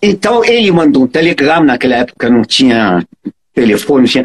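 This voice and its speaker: A man with a strong non-native accent speaks at a fairly slow pace with very wide pitch swings. The sound is dry and close, with no echo. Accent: foreign accent in Portuguese, strong. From Egypt (Cairo). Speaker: electrical engineer and transport consultant. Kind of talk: interview. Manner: halting, repeats words.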